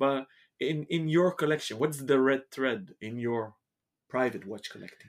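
An unremarkable speaking voice at a moderate pace, with ordinary pitch variation, big swings in loudness, and a very clean recording over a silent background. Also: man, fairly high pitch for a man. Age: 40s. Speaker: watch shop podcast host. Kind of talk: interview. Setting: in person at shop offices.

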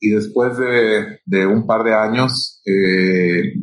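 This man's voice has a fairly low pitch. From Mexico, Sinaloa (Culiacán). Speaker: irrigation company executive. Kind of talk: interview. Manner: halting, frequent fillers and repetitions.

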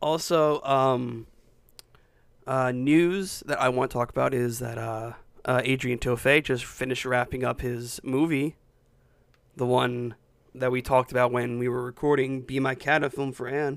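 A man keeps a moderate pace and a medium pitch, his intonation fairly even. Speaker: film podcast co-host. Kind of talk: casual chat. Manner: halting, repeats words.

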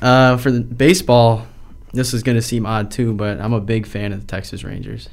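The speaker has an American accent and a moderate pace. Pitch variation is ordinary. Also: man, medium pitch for a man. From Rochester area, New York. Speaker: college student. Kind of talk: casual interview.

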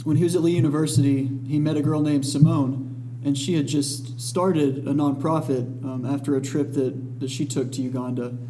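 Against noticeable background noise, a man with a Southern US accent talks at a moderate pace, his pitch fairly high and his intonation fairly even. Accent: Southern US (Georgia). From US South, Dalton, Georgia. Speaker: guest co-host, charity volunteer. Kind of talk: casual chat. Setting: studio.

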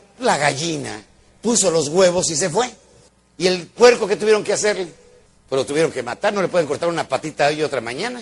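A man's high-pitched, animated voice with lively intonation at a fairly quick pace. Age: old. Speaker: motivational speaker. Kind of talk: motivational lecture.

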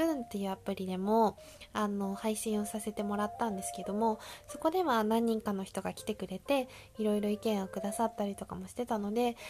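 With an ordinary speaking voice, a woman talks at a fairly quick pace and a fairly high pitch. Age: 20s. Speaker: podcast host and bank employee. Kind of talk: casual solo monologue. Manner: chatty.

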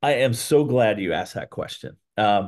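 With an American accent and an ordinary speaking voice, a man talks at a moderate pace and medium pitch with ordinary pitch variation against a quiet background. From Ohio, Columbus. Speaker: restaurant chain executive. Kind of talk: interview.

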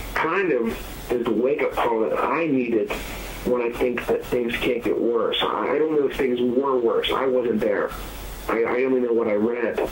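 A man at very even loudness, amid noticeable background noise and audible room echo. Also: moderate pace. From US, southwestern Pennsylvania (Fayette County). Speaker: author. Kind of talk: casual interview. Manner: hesitant, many fillers.

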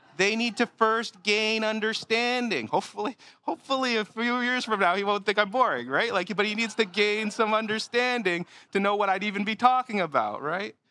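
A raised, projected voice with ordinary pitch variation moves at a fairly quick pace, its tone bright and sharp, the sound dry and close with no echo on a very clean recording with a silent background. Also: man, high pitch for a man. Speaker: pastor. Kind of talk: sermon. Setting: church. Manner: fast.

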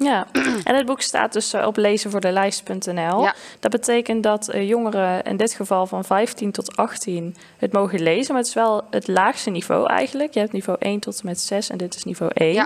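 Here is a woman with a normal speaking voice. She is medium in pitch with ordinary pitch variation. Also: moderate pace. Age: 20s. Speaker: podcast host and librarian. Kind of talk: casual book discussion.

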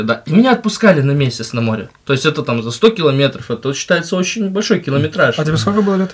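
This man talks at a very fast pace, his fairly high pitch making very wide swings. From remote settlement in Russia, from a small ethnic minority. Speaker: podcast guest, works as a host. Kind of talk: casual chat. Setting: studio.

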